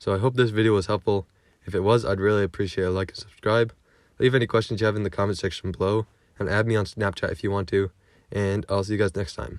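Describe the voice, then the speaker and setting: A man talks at a very fast pace with a fairly low pitch and fairly even intonation. The recording is very clean, with a silent background. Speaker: tech tutorial youtuber. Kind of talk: tutorial.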